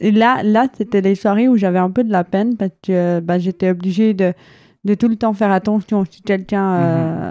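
A woman with a plain, everyday voice speaks at medium pitch and a moderate pace, with fairly even intonation. Her loudness swings widely, and the sound is dry and close with no echo. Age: 20s. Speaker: hard-of-hearing and visually impaired guest. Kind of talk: testimony.

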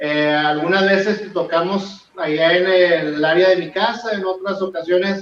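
A man speaks with a high voice. The intonation is fairly even throughout. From Monterrey, northern Mexico. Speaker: rock band guitarist. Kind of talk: interview.

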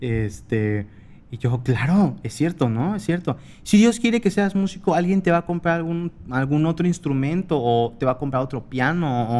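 A man's voice with lively intonation. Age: 20s. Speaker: podcast host. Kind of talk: casual monologue. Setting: home desk recording. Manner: animated, laughing.

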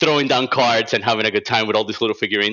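In a Cuban accent, a man speaks at a medium pitch with a bright, sharp tone and fairly even intonation. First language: Spanish. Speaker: illustrator. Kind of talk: casual interview chat.

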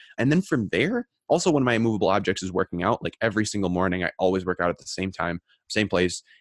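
A man with a fairly low pitch talks at a very fast pace in an animated tone. The recording is very clean with a silent background and a dry, close sound with no echo. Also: ordinary pitch variation. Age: 20s. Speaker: student entrepreneur and podcaster. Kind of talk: casual interview chat.

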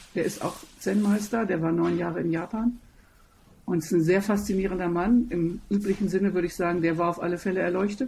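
At a fairly quick pace, a woman speaks in a medium-pitched, somewhat breathy voice with a dark, mellow tone and fairly even intonation. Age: 60s. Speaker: opera singer and voice teacher. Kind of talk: interview.

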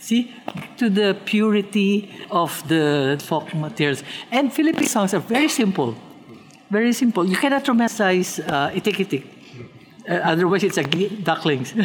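Medium-pitched female voice at a moderate pace with long, frequent pauses, very wide pitch swings, very even loudness, and noticeable background noise. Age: 70s. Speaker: pianist. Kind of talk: interview.

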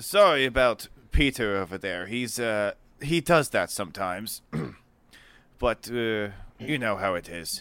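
A gruff, put-on character voice speaks at a fairly slow pace with long, frequent pauses. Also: man, medium pitch for a man.

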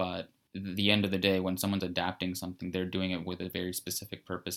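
A man speaks in a very deep, low voice. His intonation stays monotone and flat. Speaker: filmmaker. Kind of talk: casual interview chat.

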